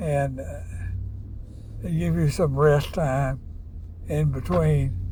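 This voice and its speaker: A man with a Southern US accent speaks at a very deep, low pitch with very wide pitch swings. His pace is very slow, and room echo is audible. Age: 80s+. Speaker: retired father giving advice. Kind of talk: casual chat. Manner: halting, hesitant.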